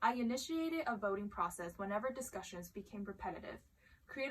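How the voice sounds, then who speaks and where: This woman has an unremarkable speaking voice, pitched fairly high. She talks at a fairly quick pace with lively intonation. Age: young. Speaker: student vlogger. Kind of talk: reading aloud; casual chat.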